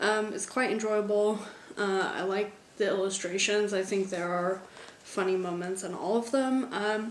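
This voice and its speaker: In an American accent, a woman speaks at a moderate pace and medium pitch with fairly even intonation, amid noticeable background noise and audible room echo. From United States. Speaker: book vlogger. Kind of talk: casual vlog.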